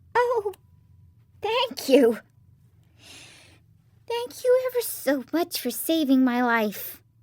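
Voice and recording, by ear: A woman uses a put-on character voice, squeaky and extremely high, with very wide pitch swings. She talks very slowly, with long, frequent pauses.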